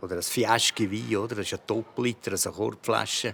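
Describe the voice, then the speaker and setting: With vocal fry and a Uri accent, a man speaks in a monotone, flat intonation at a moderate pace, his pitch fairly low. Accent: Urseren Swiss German dialect. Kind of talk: interview answer.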